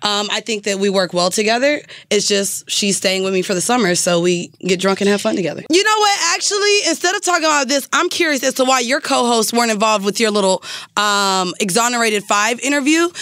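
Speaking at a very fast pace, a woman uses lively intonation in a dry recording with no echo. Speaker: podcaster. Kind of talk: casual chat. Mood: playful, teasing. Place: studio. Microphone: studio mic.

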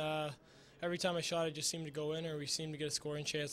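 With a fairly bright tone, a man speaks fast at a fairly high pitch.

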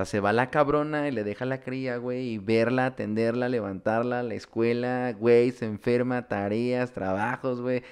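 Against a quiet background, a man with a Mexican accent talks at a fairly slow pace with fairly even intonation and hardly any pauses. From Mexico. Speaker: podcast host. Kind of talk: casual chat. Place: home room. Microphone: studio mic.

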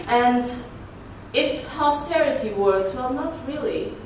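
With lively intonation and a high pitch, a woman speaks amid audible room echo and light background noise. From Portugal. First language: Portuguese. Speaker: activist and conference speaker; conference speaker. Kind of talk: conference talk with slides. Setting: conference stage with audience. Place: meeting room. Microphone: camera far.

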